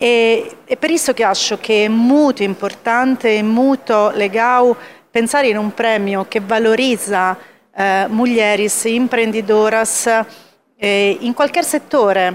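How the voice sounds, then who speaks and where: Delivered at a very slow pace with very even loudness, the speech carries an Italian accent. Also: woman, fairly high pitch for a woman, ordinary pitch variation. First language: Italian (speaking Portuguese). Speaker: corporate executive. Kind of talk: award speech.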